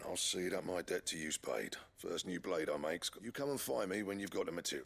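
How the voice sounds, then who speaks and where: Putting on a raspy character voice, a man speaks at a fairly low pitch and a fairly quick pace. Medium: video game. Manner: blunt, folksy.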